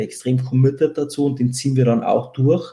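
The speech comes in a Bavarian accent at a fairly quick pace. Noticeable background noise is present. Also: man. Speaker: tech company co-founder. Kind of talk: casual interview. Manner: hesitant, many fillers.

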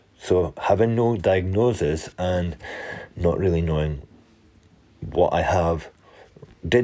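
With a Scottish accent, a man speaks at a very deep, low pitch in a dark, mellow tone with ordinary pitch variation. His pace is very slow, with long, frequent pauses. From Scotland. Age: 30s. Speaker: fitness and mental health coach. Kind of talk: personal monologue podcast.

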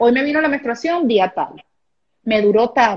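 A woman speaks high in pitch with lively intonation. She moves at a fairly quick pace. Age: 30s. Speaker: women's habits coach. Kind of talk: live interview.

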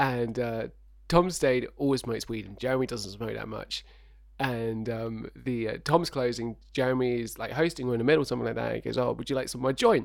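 A man in a normal speaking voice talks at a fairly quick pace and medium pitch with fairly even intonation, on a very clean recording with a silent background. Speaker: co-host. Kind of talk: casual comedic chat.

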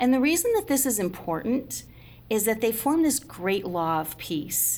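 A woman with an American accent, fairly high in pitch, with vocal fry and a moderate pace. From upstate New York, Schenectady. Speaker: museum guide and historian. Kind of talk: interview about history.

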